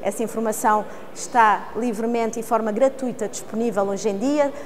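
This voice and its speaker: A woman speaks at a fairly quick pace with fairly even intonation. Light background noise can be heard. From Portugal. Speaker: lawyer, arbitration court official; lawyer. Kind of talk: interview statement. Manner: formal.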